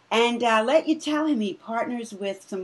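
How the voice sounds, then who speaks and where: A woman with an American accent, somewhat breathy, at a moderate pace with very wide pitch swings. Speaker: training director at a coaching school. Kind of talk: interview. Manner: animated.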